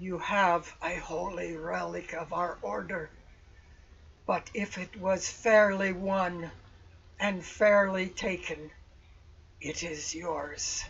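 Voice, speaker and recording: Someone in a put-on character voice talks at a middle pitch and a very slow pace, with long, frequent pauses. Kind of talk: archaic formal speech. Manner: solemn, grave, formal.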